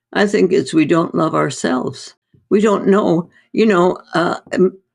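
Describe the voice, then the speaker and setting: A woman with a fairly low pitch and vocal fry speaks at a fairly slow pace, her loudness very even and her pitch variation ordinary. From North India. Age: 80s+. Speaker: doctor. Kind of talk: interview conversation.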